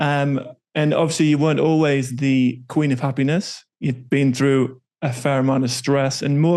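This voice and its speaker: A man with a northern English accent speaks at a fairly high pitch in a flat monotone. His pace is moderate, and the background is quiet. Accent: northern English, getting stronger. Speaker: podcast host. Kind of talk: podcast interview.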